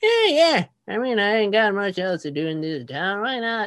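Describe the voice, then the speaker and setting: Using a put-on character voice, a woman swings her pitch very widely. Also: medium pitch for a woman, moderate pace. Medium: actual play. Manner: folksy, sly.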